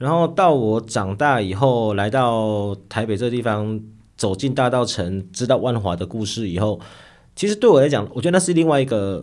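Lively intonation marks this man's unremarkable speaking voice, medium in pitch and moderate in pace. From Taiwan, Nantou. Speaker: novelist and high school teacher. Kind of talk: interview conversation.

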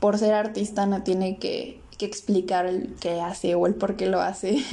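In a dark, mellow tone, a woman talks at a fairly slow pace with fairly even intonation. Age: 20s. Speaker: podcaster, film analysis. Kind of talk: solo film review monologue.

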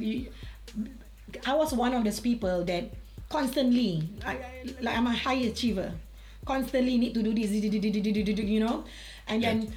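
Music plays in the background. Over it, a woman speaks at a fairly high pitch. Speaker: life coach. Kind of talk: casual interview chat. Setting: video call live stream.

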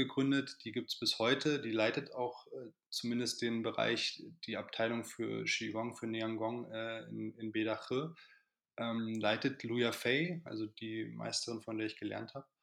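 In a plain, everyday voice, a man speaks at a medium pitch and a fairly slow pace, with fairly even intonation over a quiet background. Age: 30s. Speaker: qigong teacher. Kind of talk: casual chat.

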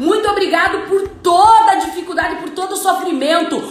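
With audible room echo and noticeable background noise, a woman talks at a moderate pace in an extremely high pitch. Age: 30s. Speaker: entrepreneur and life coach. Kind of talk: motivational talk. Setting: Instagram live.

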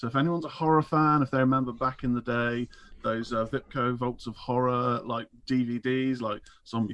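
A man with a plain, everyday voice talks at a moderate pace and medium pitch, keeping his intonation fairly even. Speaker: caller and listener. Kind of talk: casual chat. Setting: video call or phone call.

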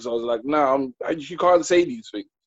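Very fast and with fairly even intonation, a man speaks in a dry, close sound with no echo and a quiet background. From Trinidad. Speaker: panelist. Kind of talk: panel discussion podcast.

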